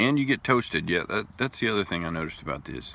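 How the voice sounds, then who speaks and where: A man speaks at a fairly quick pace with very wide pitch swings, a bright, sharp tone and vocal fry. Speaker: pipe tobacco reviewer. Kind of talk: casual video review. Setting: outdoors at a park.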